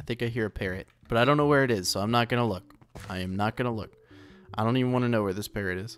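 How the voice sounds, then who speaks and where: A man's very fast speech with faint music in the background. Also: ordinary pitch variation. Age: 20s. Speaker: gaming YouTuber; gaming youtuber. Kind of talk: gameplay commentary. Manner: casual, rambling with fillers. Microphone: condenser mic on boom arm, very close; studio mic.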